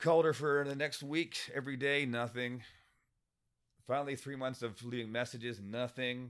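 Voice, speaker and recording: A man's medium-pitched voice, a normal speaking voice, at a moderate pace in a very clean recording with a silent background. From Windsor, Ontario (Canada), from age four, Scottish family. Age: 50s. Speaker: writer and former musician and bartender. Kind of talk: casual interview.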